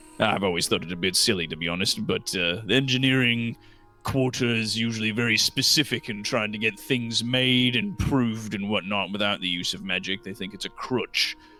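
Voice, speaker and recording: Faint music plays in the background as a man in a gruff, put-on character voice talks at a moderate pace and medium pitch with hardly any pauses. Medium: actual play. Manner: gruff, blunt, says aye often.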